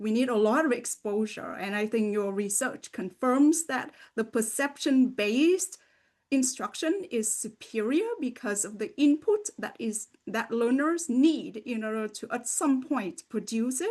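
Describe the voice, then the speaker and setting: A woman speaks at a fairly slow pace in a high voice with lively intonation against a quiet background. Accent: slight Vietnamese. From Vietnam. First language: Vietnamese. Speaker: podcast host and language education researcher. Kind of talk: interview conversation.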